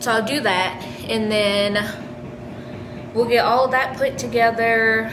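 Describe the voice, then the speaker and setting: Someone speaks at a very slow pace with fairly even intonation, over noticeable background noise and audible room echo. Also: woman. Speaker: vlogger, expectant first-time mother. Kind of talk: casual vlog. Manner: casual, filler-heavy; halting, self-correcting.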